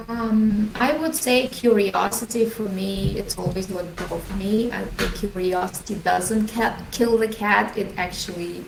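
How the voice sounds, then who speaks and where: Against noticeable background noise, a woman with a Russian accent speaks fairly slowly at a medium pitch with fairly even intonation and hardly any pauses. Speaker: leadership coach. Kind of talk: podcast interview.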